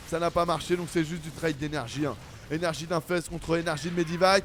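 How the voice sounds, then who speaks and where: With an animated tone, this man moves along at a fairly quick clip. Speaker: esports caster. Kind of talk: replay game commentary.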